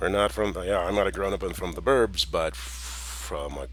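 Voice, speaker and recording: Lively intonation at a moderate pace, with an American accent. There is vocal fry throughout. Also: man. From US suburbs. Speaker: small business owner, vlogger. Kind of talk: personal monologue. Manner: casual, colloquial.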